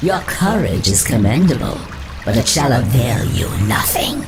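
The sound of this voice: A put-on character voice moves at a fairly slow pace with big pitch swings. Audible room echo surrounds it, and music plays clearly in the background. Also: woman, extremely low pitch for a woman.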